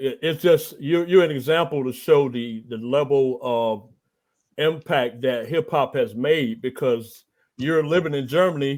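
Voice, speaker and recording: With an American accent, a man talks in a normal speaking voice at a fairly high pitch. His pace is fairly slow and his pitch varies in an ordinary way. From Texas. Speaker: interview podcast host. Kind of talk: interview.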